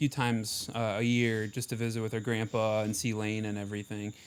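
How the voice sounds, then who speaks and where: In an Ohio accent, a man with a medium-pitched voice speaks at a fairly quick pace. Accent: Midwestern Ohio. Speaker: marching band member. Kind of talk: casual chat.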